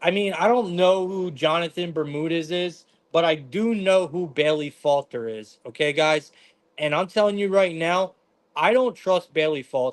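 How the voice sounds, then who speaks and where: A man's loud, high-pitched voice moves at a moderate pace, its pitch varying in an ordinary way. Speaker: sports betting stream host. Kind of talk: live stream sports betting analysis. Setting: live stream from living room. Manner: intense.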